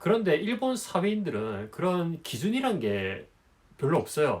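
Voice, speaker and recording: A fairly high-pitched male voice with vocal fry and very wide pitch swings. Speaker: business consultant and YouTuber. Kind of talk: advice monologue to camera. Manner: casual, with many filler words.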